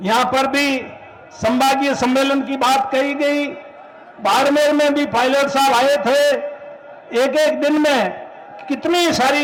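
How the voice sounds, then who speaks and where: A man speaks at an extremely high pitch. Noticeable background noise and audible room echo surround him. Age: 70s. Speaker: veteran politician. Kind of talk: political rally speech.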